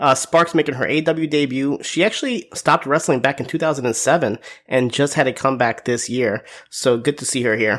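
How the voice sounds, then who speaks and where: The man's voice sits at a fairly high pitch, with ordinary pitch variation. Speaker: wrestling show reviewer. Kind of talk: show review recap.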